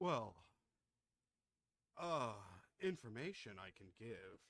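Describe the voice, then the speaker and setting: A man's put-on character voice at a medium pitch, fairly slow in pace, with very wide pitch swings. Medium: actual play.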